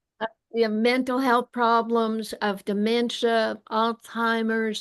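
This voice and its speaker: A woman at a very slow pace, fairly high in pitch, with monotone, flat intonation over a quiet background. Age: 70s. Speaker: medical doctor and health author. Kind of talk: interview.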